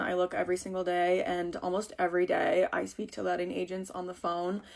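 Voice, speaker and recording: In an American accent, a woman talks at a moderate pace with a medium pitch. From United States. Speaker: lifestyle vlogger. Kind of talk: casual chat. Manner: chatty.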